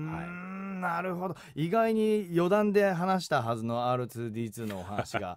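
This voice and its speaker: The speaker talks at a fairly slow pace with very wide pitch swings. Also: man, high pitch for a man. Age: 40s. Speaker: radio host and voice actor. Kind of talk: radio interview.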